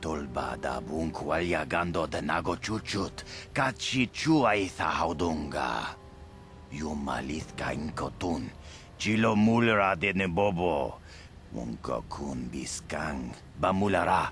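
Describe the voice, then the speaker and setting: Using a put-on character voice, a man speaks at a fairly slow pace with a very deep, low pitch, and clear background noise sits behind him. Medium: video game.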